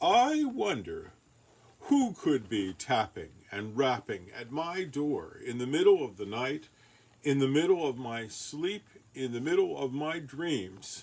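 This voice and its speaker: A man in a put-on character voice rumbles along at a fairly slow pace in a fairly high pitch, with a grumpy tone. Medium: read story. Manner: grumpy, grumbling.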